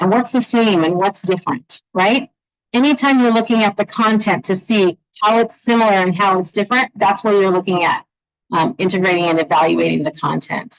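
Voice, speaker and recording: A woman with an unremarkable speaking voice keeps a medium pitch, ordinary pitch variation and very even loudness, in a dry, close sound with no echo. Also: fairly quick pace. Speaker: education presenter. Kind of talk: presentation to parents.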